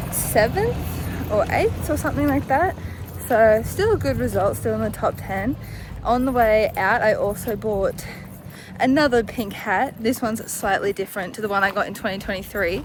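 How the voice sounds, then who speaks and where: Over noticeable background noise, a woman with an Australian accent talks at a moderate pace. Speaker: vlogger. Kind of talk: vlog narration.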